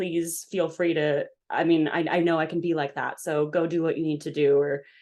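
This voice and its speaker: A woman's fairly low voice moves along at a moderate speed. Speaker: podcast guest. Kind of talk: casual chat. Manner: gets louder when excited.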